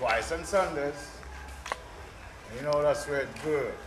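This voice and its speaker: A Jamaican accent over noticeable background noise. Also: man. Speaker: tour guide. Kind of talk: casual talk to camera. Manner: laid-back, upbeat.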